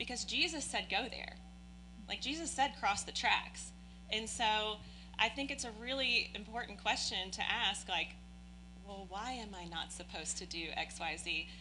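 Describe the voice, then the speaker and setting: A woman talks at a fairly slow pace, and audible room echo rings around her words. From Oldham County, Kentucky. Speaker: church member. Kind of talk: interview.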